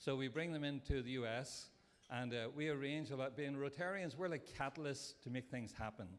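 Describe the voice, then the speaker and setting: Speaking with a non-native accent, a fairly high-pitched man moves at a fairly quick pace with ordinary pitch variation. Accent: foreign accent, noticeable. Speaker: Rotary club member. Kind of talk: speech at a breakfast event.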